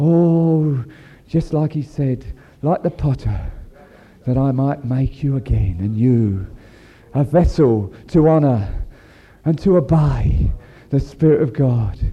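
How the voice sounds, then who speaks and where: A man speaks very slowly with ordinary pitch variation. He leaves long, frequent pauses. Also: fairly high pitch for a man. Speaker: preacher. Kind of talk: sermon. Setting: church.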